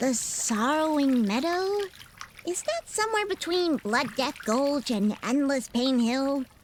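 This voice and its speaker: A cartoonish character voice, high-pitched, talks at a fairly slow pace. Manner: energetic, emotional.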